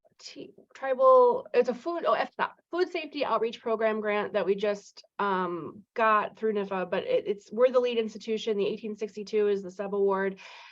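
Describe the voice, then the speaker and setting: Her pitch fairly high, a woman talks at a moderate pace with ordinary pitch variation and hardly any pauses. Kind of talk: listening session discussion. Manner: halting, many fillers.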